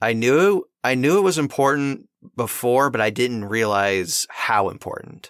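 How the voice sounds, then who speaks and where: A man with a medium pitch speaks fairly slowly in an ordinary speaking voice, his intonation lively. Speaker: podcast host and voice actor. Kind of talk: casual interview chat.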